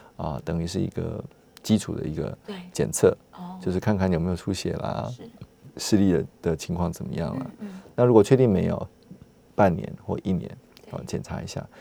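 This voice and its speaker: Speaking with a Taiwanese accent, a man uses a very deep, low pitch and a dark, mellow tone with vocal fry, lively intonation, big swings in loudness, a moderate pace and long, frequent pauses. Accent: Taiwanese Mandarin. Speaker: ophthalmologist. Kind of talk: medical interview. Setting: studio. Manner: halting, many fillers.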